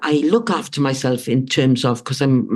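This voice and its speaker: A woman speaks with a Welsh accent. Her pitch is very deep and low. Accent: British (Welsh). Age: 60s. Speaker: author and writing coach. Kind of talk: interview conversation. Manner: halting, many fillers and restarts.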